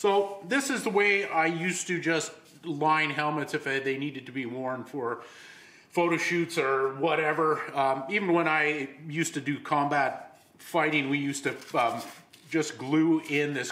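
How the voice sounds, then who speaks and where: A man talks at a fairly slow pace with audible room echo around him. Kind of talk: tutorial. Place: workshop.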